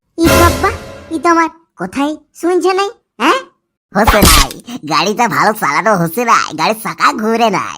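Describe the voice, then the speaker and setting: A cartoonish character voice, fairly high in pitch, swings very widely up and down at a moderate pace. Music plays in the background. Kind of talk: comic cartoon dialogue.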